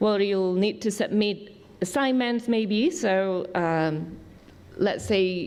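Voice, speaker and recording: A woman talks at a medium pitch with ordinary pitch variation. Hers is an unremarkable speaking voice. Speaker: summer school staff member. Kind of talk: orientation briefing.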